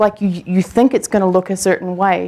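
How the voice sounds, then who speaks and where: With a strong New Zealand accent, a woman speaks in a dark, mellow tone. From New Zealand, Christchurch. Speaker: coaching client, online business owner. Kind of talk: onstage interview. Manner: halting, many fillers and repeats.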